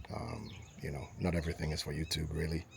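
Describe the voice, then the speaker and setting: His pitch is very deep and low as the man talks at a fairly quick pace. The voice is somewhat breathy. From Ghana, grew up in Accra and Takoradi. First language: Ga. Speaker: vlogger building a house. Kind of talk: casual vlog talk to camera. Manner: many filler ums, hesitant.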